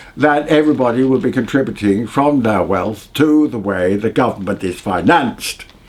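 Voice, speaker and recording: Noticeable background noise runs through the clip. Over it, a man speaks at medium pitch. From England. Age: 80s+. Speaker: clergyman and social justice campaigner. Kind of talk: interview monologue on policy. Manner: halting, with frequent hesitations.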